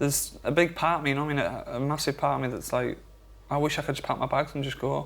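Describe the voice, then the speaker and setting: Talking at a very fast pace, a man with a Geordie accent uses a fairly high pitch and vocal fry. His intonation is monotone and flat. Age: young. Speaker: father of triplets. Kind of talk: emotional confession.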